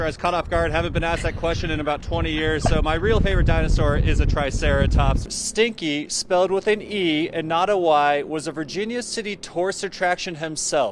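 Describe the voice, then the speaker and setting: A high-pitched man at a fairly quick pace, with hardly any pauses and ordinary pitch variation, over noticeable background noise. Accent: American. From Colorado. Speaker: TV news reporter and anchor. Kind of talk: TV news reporting.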